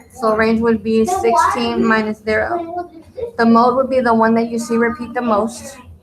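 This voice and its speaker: Music plays in the background. The speaker goes at a moderate pace with ordinary pitch variation. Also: woman, fairly high pitch for a woman. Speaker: math teacher. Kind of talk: tutorial.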